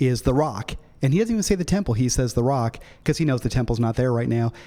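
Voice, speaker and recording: The man has a medium pitch and a dark, mellow tone. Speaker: pastor. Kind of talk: lecture. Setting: church. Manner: fast; animated.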